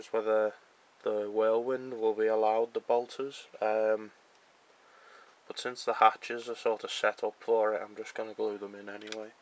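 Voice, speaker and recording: Quiet and monotone, this man talks with flat intonation while his loudness swings widely. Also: medium pitch for a man, moderate pace. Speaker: hobbyist model builder. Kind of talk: casual tutorial-style build commentary.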